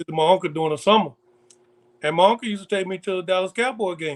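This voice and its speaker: A man's high voice in a Southern US accent, fairly quick, with ordinary pitch variation and a dry, close sound with no echo. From Pensacola, Florida (US Gulf Coast). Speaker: DJ. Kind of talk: casual interview.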